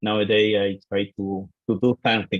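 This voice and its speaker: A man with an Argentine accent, fairly low pitch, moderate pace. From Argentina. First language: Spanish. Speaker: IT architect. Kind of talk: self-introduction on video call. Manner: halting, many hesitations.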